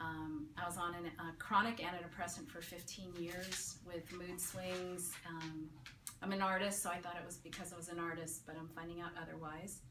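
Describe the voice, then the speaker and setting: Through noticeable background noise and audible room echo, a woman speaks at a moderate pace with monotone, flat intonation. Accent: American. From San Francisco, California. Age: 50s. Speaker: patient giving a testimonial. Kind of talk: testimony. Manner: casual, with hesitations and fillers.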